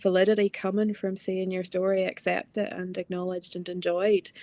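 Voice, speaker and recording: A woman with a Northern Irish accent talks at a fairly quick pace and medium pitch, her intonation monotone and flat, in a dry, close sound with no echo. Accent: Northern Irish, strengthening. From Northern Ireland, Ballymena. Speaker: novelist. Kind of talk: book festival conversation.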